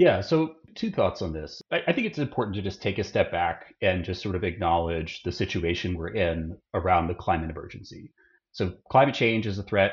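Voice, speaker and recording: Somewhat breathy, a man speaks at a moderate pace. His pitch is very deep and low. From Austin, Texas. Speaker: climate campaign director. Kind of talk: interview.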